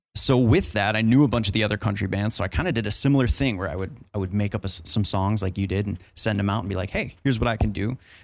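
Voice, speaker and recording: Ordinary pitch variation in a fairly low male voice moving at a very fast pace. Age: 20s. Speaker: mixing engineer. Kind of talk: casual chat. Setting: hotel room at a trade show.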